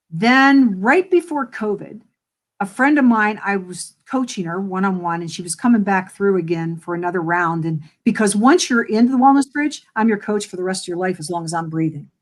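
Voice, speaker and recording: A woman speaks at medium pitch and a fairly quick pace. Her intonation is lively, and her loudness swings widely. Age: 60s. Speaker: wellness coach. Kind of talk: interview. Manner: animated.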